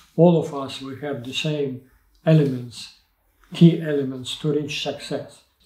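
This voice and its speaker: Audible room echo surrounds a man with a Ukrainian accent. He speaks fairly slowly at a fairly high pitch. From Ukraine. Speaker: Olympic sailing coach. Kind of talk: interview answer. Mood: reflective, earnest. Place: studio.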